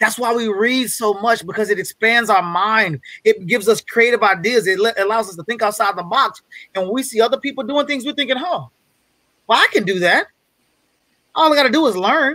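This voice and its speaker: Against a quiet background, a man uses a raised, projected voice, high-pitched with a bright, sharp tone, ordinary pitch variation and a fairly quick pace, in a dry sound with no echo. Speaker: guest speaker on a business masterclass. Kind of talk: motivational, casual. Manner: fast talker; fast talker, excitable. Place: home room.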